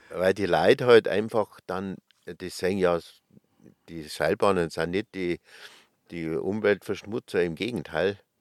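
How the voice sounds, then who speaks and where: A man with a Bavarian accent, very deep and low in pitch, fairly slow with long, frequent pauses, big swings in loudness, fairly even intonation, and a dry, close sound with no echo. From Upper Bavaria, Schliersee. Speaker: ski lift company manager. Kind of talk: interview. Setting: recording bus.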